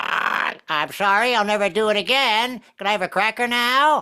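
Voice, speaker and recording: A whiny put-on character voice at a fairly high pitch, on a very clean recording with a silent background. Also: moderate pace. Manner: petulant, whiny.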